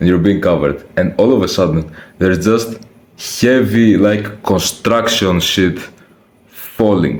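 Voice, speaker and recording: Very deep, low male voice with a non-native accent, ordinary pitch variation, very even loudness and a fairly slow pace, in audible room echo. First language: not English. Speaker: youtuber, personal vlogger. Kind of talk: casual personal storytelling to camera. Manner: casual, slangy with hesitations and restarts.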